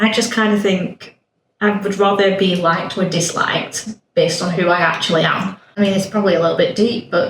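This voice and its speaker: At a fairly quick pace, a woman with a northern English accent talks at a medium pitch with fairly even intonation. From northern England. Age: 30s. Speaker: podcast guest, nail technician. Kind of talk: casual chat. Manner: loud and blunt.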